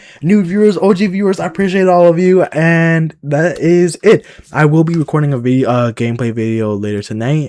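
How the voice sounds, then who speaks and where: Here a man talks at a moderate pace with a fairly high pitch and lively intonation. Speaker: streamer. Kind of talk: casual chat. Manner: halting.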